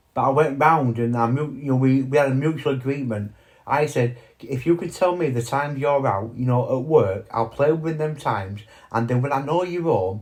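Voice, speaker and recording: A man's somewhat breathy voice at a medium pitch with ordinary pitch variation. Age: 40s. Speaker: vlogger. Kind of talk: personal monologue. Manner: halting.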